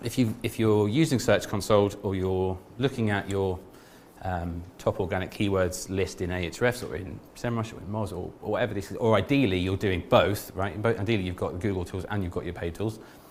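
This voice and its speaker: Fairly low male voice at a fairly quick pace, ordinary pitch variation, with audible room echo. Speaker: SEO specialist giving a conference talk. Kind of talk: conference talk. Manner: fast; halting, many repeated words.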